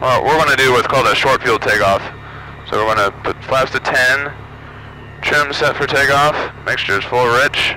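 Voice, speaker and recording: Over light background noise, a man speaks at a moderate pace, the sound dry with no echo. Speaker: pilot instructor. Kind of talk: checklist instruction and explanation. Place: plane. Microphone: headset.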